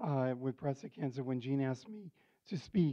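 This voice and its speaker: A man with an American accent uses a normal speaking voice, fairly high in pitch, with ordinary pitch variation and a moderate pace. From New York City. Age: 60s. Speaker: cancer patient sharing experience. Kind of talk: testimony. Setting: support group meeting with audience.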